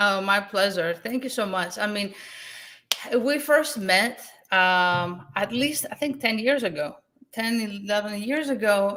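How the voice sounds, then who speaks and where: With a Greek accent, a woman speaks at a fairly slow pace in a medium pitch, her bright, sharp tone carrying lively intonation. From Greece. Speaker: real estate investor, event host. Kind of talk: online summit interview. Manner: animated.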